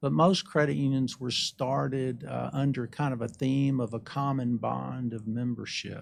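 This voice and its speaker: Against a quiet background, a man with an Alabama accent speaks at a fairly slow pace. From Alabama, US South (Birmingham). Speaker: credit union executive. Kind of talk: interview. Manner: polite, gracious.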